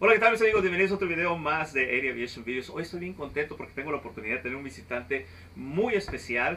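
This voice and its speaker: Over light background noise, a man races along at a very fast pace with hardly any pauses, very wide pitch swings and big swings in loudness. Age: 40s. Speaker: flight instructor and video host; flight instructor, video host. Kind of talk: casual interview. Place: office.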